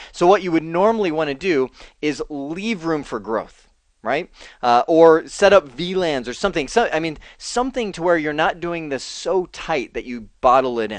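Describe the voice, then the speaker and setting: Against a quiet background, a man speaks at a moderate pace in an unremarkable speaking voice. His pitch is fairly high and his intonation lively. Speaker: networking instructor. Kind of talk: tutorial. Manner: casual, conversational.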